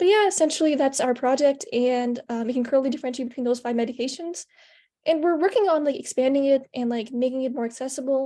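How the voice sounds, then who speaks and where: A woman speaks very fast with a high pitch and a dark, mellow tone. Her pitch varies in an ordinary way on a very clean recording with a silent background. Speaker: hackathon participant. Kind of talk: project presentation. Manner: stuttering, halting; casual, many fillers.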